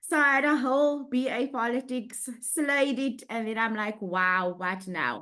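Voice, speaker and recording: A woman's lively intonation stands out over a quiet background. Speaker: renewable energy social specialist. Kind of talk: panel discussion. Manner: loud.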